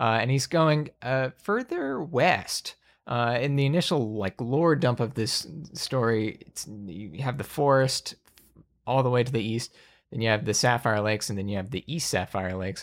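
A man talks in an unremarkable speaking voice at medium pitch, with lively intonation and a moderate pace. The recording is very clean, with a silent background. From US South, Alabama. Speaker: podcast host and game master. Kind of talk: game session setup, narrating story lore; casual chat.

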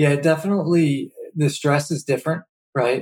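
Somewhat breathy man with an American accent. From Philadelphia area. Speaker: logistics company co-founder. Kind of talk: casual interview.

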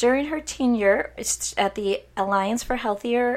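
Fairly even intonation marks this woman's speech. She has an unremarkable speaking voice and keeps a moderate pace. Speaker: podcast host.

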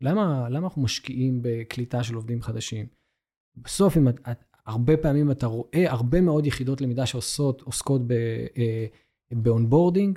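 Over a very clean recording with a silent background, a man speaks at a fairly quick pace. His voice is medium in pitch, somewhat breathy and dark and mellow in tone, with ordinary pitch variation. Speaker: learning and development manager. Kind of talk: interview.

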